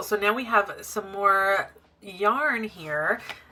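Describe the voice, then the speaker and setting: A woman speaks at a very slow pace in a medium pitch, with noticeable background noise behind her. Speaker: crochet vlogger. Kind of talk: casual vlog narration. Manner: relaxed.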